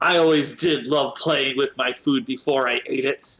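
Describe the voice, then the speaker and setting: The speaker uses a put-on character voice with a growl. Intonation is fairly even and the pace moderate. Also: man, fairly high pitch for a man. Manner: snarling, menacing.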